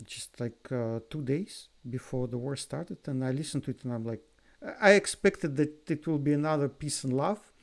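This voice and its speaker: Speaking with a non-native accent, a man uses a fairly high pitch, ordinary pitch variation and a moderate pace. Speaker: music reaction youtuber. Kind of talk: video commentary reaction. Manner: halting, with repetitions and fillers.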